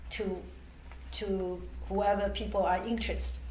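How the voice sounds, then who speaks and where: A woman with a Chinese accent speaks at a fairly slow pace. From Taiwan. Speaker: charity organisation president. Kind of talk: oral history interview answer. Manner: hesitant, with fillers.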